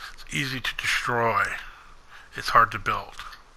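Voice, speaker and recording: Behind the man there is noticeable background noise. He talks at a fairly slow pace. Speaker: gaming youtuber. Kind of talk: personal monologue video. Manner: monotone.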